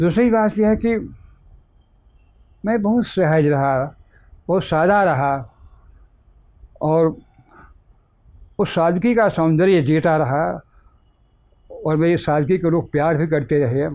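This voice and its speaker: With a dark, mellow tone and a high pitch, a man speaks with long, frequent pauses. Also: ordinary pitch variation. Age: 80s+. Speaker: poet and retired professor. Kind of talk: interview answer.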